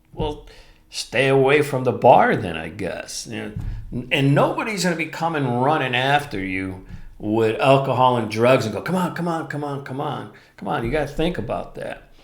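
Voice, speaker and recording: A man's fairly high voice with lively intonation, amid audible room echo and noticeable background noise. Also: moderate pace. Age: 60s. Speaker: podcast host. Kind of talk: solo podcast talk.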